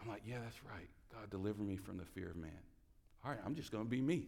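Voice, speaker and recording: A man talks with a Southern US accent at medium pitch. His tone is animated, bright and sharp. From US South, rural North Carolina. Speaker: guest preacher. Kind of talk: sermon. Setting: church with congregation.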